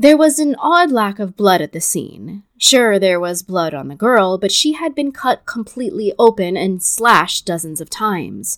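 A woman's dramatic delivery, with very wide pitch swings and big swings in loudness. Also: medium pitch for a woman, moderate pace, hardly any pauses. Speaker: true crime podcast host. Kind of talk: true-crime narration, scripted storytelling. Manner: steady, dramatic, storyteller pacing.

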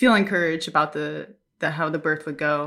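Recorded very cleanly against a silent background, a woman with an American accent speaks with ordinary pitch variation. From US Midwest, Minnesota. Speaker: missionary, new mother. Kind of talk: casual interview, birth story.

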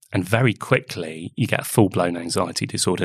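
This man has an English accent and a very deep, low pitch, with ordinary pitch variation. He speaks at a fairly quick pace on a very clean recording with a silent background. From England. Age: 40s. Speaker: artist. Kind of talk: interview conversation.

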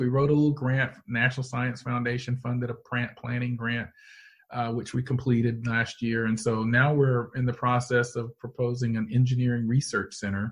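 A somewhat breathy man with an American accent at a fairly quick pace. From US South, Georgia (Canton). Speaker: meteorology professor. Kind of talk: interview.

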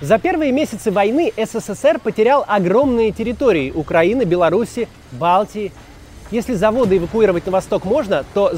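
A man talks with a high pitch and lively intonation. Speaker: documentary narrator. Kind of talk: scripted historical documentary narration. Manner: formal, measured, authoritative.

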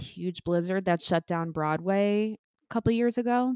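In an American accent, a woman with an unremarkable speaking voice talks at a moderate pace, with medium pitch and fairly even intonation. The recording is very clean and dry, close-sounding with no echo and a silent background. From New Jersey (Bayonne). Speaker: Broadway music director and conductor. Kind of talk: interview.

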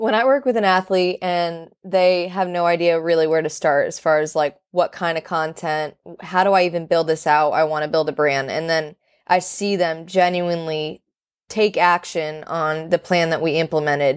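A woman's plain, everyday voice in an American accent, with fairly even intonation, a moderate pace, and a very clean recording over a silent background. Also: fairly low pitch for a woman. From North Carolina, Charlotte. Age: 20s. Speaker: sports content creator and founder. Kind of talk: interview.

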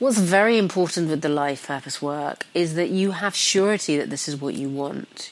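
A woman's very deep, low voice at a moderate pace, with ordinary pitch variation and noticeable background noise. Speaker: spiritual coach. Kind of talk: podcast sales pitch. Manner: hesitant with fillers.

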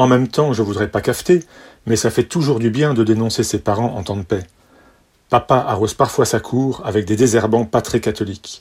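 Speaking in a playful, deadpan tone, a man with a medium pitch sounds somewhat breathy. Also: moderate pace. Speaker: son giving toast. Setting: party with audience. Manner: playful, deadpan-mocking, wry, with mock-lyrical flourishes and timed pauses for laughs.

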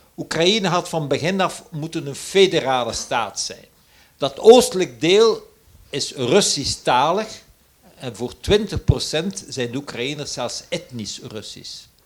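Very slow speech from a man, his pitch swinging very widely. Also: big swings in loudness. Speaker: emeritus professor. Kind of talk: panel discussion.

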